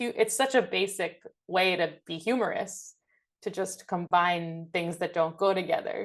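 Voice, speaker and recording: At a fairly slow pace, a woman with an American accent and a normal speaking voice talks at medium pitch with ordinary pitch variation over a quiet background. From New York City. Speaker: comedian and violist. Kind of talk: interview.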